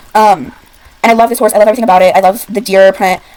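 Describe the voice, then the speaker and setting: The tone is animated, with ordinary pitch variation, and the pace is very fast. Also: woman. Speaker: gaming YouTuber. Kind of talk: casual game commentary.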